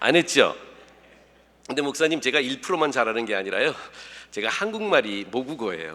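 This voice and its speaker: A man with vocal fry and a bright, sharp tone talks at a moderate pace and medium pitch, with very wide pitch swings and long, frequent pauses. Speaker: pastor. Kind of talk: sermon. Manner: casual, humorous conversational delivery.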